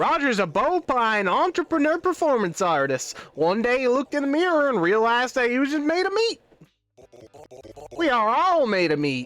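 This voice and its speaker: A woman puts on a character voice in a Southern accent with a high pitch. She speaks at a moderate pace with very wide pitch swings. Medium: virtual streamer.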